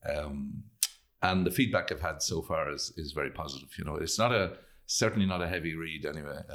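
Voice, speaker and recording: A man's very deep, low voice in a Leitrim Irish accent. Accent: Irish (Leitrim, north midlands). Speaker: actor and playwright. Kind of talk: interview. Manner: halting.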